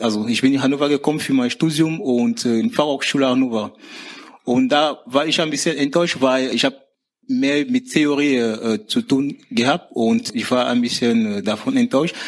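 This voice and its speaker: Fairly high in pitch, this man talks. His intonation is lively. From Cameroon. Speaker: university dropout, now in vocational training. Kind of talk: interview. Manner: halting.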